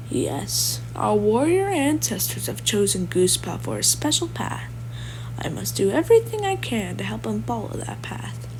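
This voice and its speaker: A quiet, raspy, put-on character voice from a man, fairly low in pitch, at a moderate pace over loud background noise. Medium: read story. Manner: calm, authoritative.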